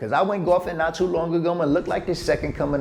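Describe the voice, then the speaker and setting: In an American accent, a man talks very fast. His pitch is high, with ordinary variation. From United States (Cleveland, Ohio). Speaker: sports and entertainment reporter.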